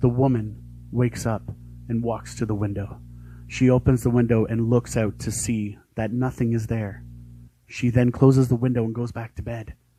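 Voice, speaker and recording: Over music in the background, a man talks at a moderate pace. His pitch is medium, and his intonation stays monotone and flat. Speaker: aspiring voice actor. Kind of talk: narrated scene reading, dramatic. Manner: narrator tone.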